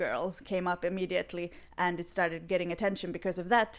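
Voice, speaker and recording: A woman with a Swedish accent is heard in a very clean recording with a silent background. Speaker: podcast co-host. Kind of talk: casual chat.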